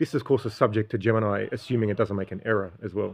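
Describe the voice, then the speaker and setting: A medium-pitched man with an Australian accent, very fast pace and fairly even intonation. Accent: Australian, often taken for South African. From Australia, Sydney (Bankstown). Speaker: livestreamer, PhD student. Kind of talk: casual livestream monologue. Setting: live stream on a talk app. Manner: halting, many fillers.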